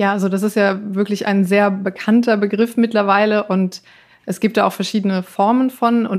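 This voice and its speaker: At a moderate pace, a woman speaks in a monotone, flat voice at a medium pitch. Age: 30s. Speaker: finance blogger. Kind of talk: interview.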